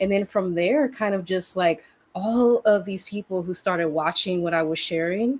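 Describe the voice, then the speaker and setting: An unremarkable speaking voice from a woman, fairly low in pitch, at a fairly quick pace with ordinary pitch variation. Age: 30s. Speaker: healing practitioner and coach. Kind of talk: casual conversation on a livestream. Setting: livestream.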